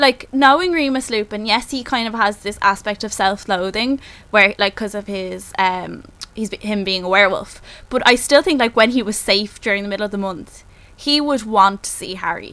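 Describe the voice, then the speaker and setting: A woman with a Dublin accent speaks in a bright, sharp tone, fairly high in pitch, with ordinary pitch variation at a moderate pace. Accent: Dublin Irish. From Ireland, Dublin. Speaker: podcast co-host. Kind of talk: casual chat. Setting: Skype call.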